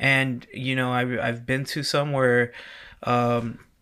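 A man's medium-pitched voice at a very slow pace. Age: 30s. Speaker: wedding DJ. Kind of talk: casual interview chat.

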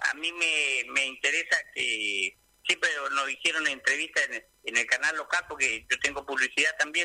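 The voice belongs to a man speaking at a moderate speed. The recording sounds dry and close, without any echo. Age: 60s. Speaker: small business owner, cook. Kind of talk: radio interview.

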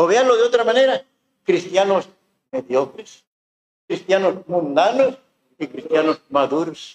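Long, frequent pauses break up a man's fairly slow speech, which has a high pitch and lively intonation. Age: 70s. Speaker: pastor. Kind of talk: sermon. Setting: church.

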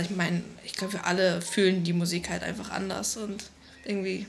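Over noticeable background noise, the voice holds a monotone, flat intonation at a moderate pace. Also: woman. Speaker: BMX athlete. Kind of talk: interview. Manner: casual, colloquial.

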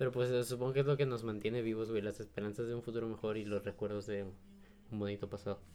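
Talking at a very fast pace with a Mexican accent, a man uses a fairly low, dark, mellow voice with monotone, flat intonation. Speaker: podcast co-host. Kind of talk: casual chat.

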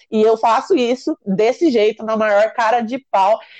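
Against a quiet background, a woman speaks in an unremarkable speaking voice at a fairly high pitch with ordinary pitch variation, the sound dry and close with no echo. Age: 30s. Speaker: entrepreneur. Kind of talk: interview.

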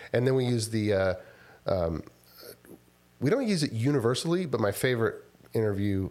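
Talking at a fairly quick pace, a man of medium pitch with an American accent uses lively intonation. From Texas, Houston area. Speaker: software company founder. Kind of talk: casual interview.

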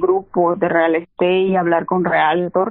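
Fairly low in pitch, a woman speaks in a monotone with flat intonation. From El Salvador. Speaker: real estate investor. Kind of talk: interview.

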